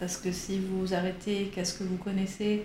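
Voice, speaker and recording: Noticeable background noise and audible room echo both come through in the clip. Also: woman. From Switzerland, Geneva. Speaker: improv actor and singer. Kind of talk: interview.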